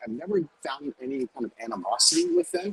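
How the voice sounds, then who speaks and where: This is a man speaking. He has an American accent. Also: dry, close sound with no echo. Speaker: chef. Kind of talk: casual chat.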